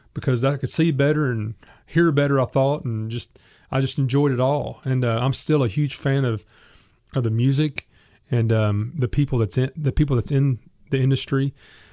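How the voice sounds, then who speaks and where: Speaking with a Southern US accent, a man has a medium pitch and a dark, mellow tone. He keeps a moderate pace and fairly even intonation. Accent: Southern American. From US South, Memphis, Tennessee. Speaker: gospel singer and songwriter. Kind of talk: casual interview.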